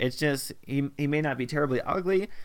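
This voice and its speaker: A man with a normal speaking voice talks at a moderate pace and fairly high pitch, with ordinary pitch variation. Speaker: podcast host. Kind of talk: casual chat.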